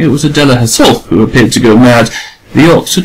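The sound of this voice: The passage is delivered in an unforced reading voice.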